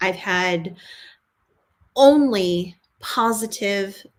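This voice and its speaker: Here a woman speaks with an American accent. Her pitch is medium, with ordinary variation. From California, San Diego. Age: 40s. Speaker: vintage lifestyle content creator. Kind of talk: livestream Q&A chat. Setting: YouTube livestream. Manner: casual, filler-heavy.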